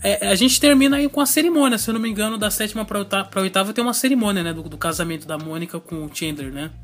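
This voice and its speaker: With hardly any pauses, a man with a high voice races along at a very fast pace, his pitch swinging very widely over noticeable background noise. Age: 20s. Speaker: podcast host. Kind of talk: casual chat.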